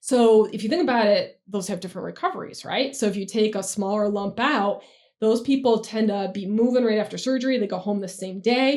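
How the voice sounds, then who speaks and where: A woman with an American accent talks at a fairly quick pace in a normal speaking voice. Her pitch is fairly high, with ordinary variation. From New York State. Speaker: breast surgeon. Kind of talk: expert interview. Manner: casual, explanatory.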